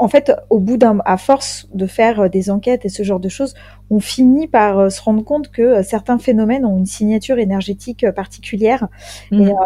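Her voice is fairly high, dark and mellow, somewhat breathy, with ordinary pitch variation as the woman talks at a moderate pace. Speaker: ghost hunter, undertaker. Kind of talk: casual chat.

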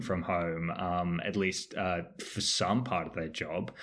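Speaking fairly slowly, a man talks with an Australian accent. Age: 30s. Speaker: podcast host and finance journalist. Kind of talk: casual chat. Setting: video call.

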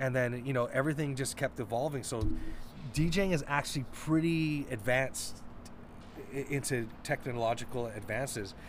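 A man with an ordinary speaking voice talks at a moderate pace and a medium pitch, with ordinary pitch variation. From Vancouver, Canada. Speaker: DJ. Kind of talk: interview.

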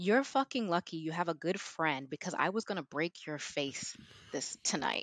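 A woman with a plain, everyday voice and an American accent speaks at a fairly low pitch with lively intonation, in a dry, close sound with no echo and a quiet background. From Houston, Texas. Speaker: traveler and teacher abroad. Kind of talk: casual chat.

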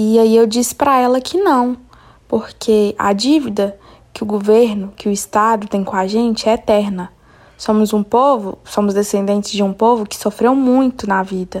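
A woman talks in a normal speaking voice at a fairly high pitch. Her intonation is fairly even. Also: moderate pace. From Belo Horizonte, Brazil. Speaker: podcast host. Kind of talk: interview and personal story.

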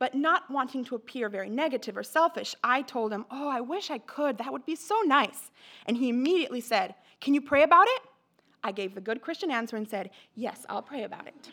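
Raising and projecting her voice, a woman speaks at a high pitch and a fairly quick pace with a bright, sharp tone, lively intonation and big swings in loudness. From Mexico. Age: young. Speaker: bible school student. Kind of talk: testimony. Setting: church.

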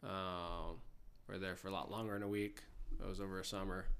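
In a bright, sharp tone, a man speaks with monotone, flat intonation at a fairly low pitch. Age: 40s. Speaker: high school history teacher. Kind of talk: casual chat. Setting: at home.

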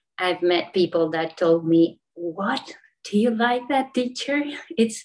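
A woman's lively intonation with a Spanish accent. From Argentina. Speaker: yoga teacher. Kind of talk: online panel discussion. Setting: video call.

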